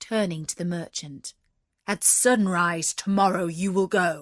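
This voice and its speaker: A woman puts on a gruff character voice at a medium pitch. She talks at a fairly slow pace over a quiet background. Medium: read story. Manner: formal, courteous.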